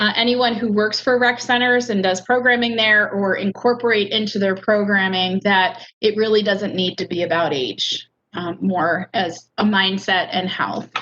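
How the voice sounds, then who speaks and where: With a bright, sharp tone at medium pitch, a woman keeps a moderate pace and ordinary pitch variation, with hardly any pauses. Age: 50s. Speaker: adult educator and ESL teacher. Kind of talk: online lecture. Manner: casual, humorous.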